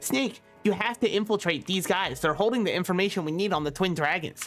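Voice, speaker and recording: Over faint music in the background, a put-on character voice that sounds female speaks at a fairly quick pace and a middle pitch. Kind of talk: nerdy voice.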